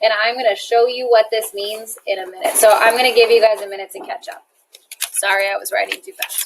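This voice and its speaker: A woman talks at a fairly quick pace in a normal speaking voice, fairly high in pitch, with big swings in loudness. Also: ordinary pitch variation. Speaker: chemistry teacher. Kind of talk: classroom lecture.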